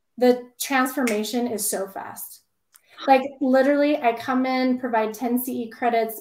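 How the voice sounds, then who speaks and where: At a moderate pace and with fairly even intonation, the speaker uses an American accent on a very clean recording with a silent background. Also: woman. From Idaho, US. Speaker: dental hygienist and consultant. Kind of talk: interview. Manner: loud.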